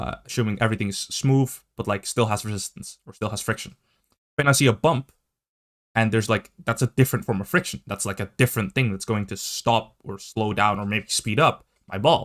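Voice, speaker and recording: With a non-native accent, the speaker moves at a fairly quick pace with ordinary pitch variation, in a dry, close sound with no echo on a very clean recording with a silent background. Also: man, medium pitch for a man. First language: not English. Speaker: gaming video commentator. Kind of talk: commentary video reacting to tweets. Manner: halting, with many fillers and restarts.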